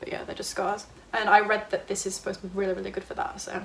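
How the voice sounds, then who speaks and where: A woman with a British accent at a medium pitch, over noticeable background noise. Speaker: YouTuber. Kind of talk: casual haul video. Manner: fast; animated.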